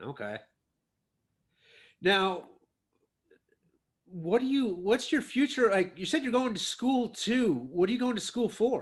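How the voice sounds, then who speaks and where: Long, frequent pauses and a fairly slow pace in a Midwestern US accent, on a very clean recording with a silent background. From Ohio. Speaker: podcast host and triathlete. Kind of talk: interview.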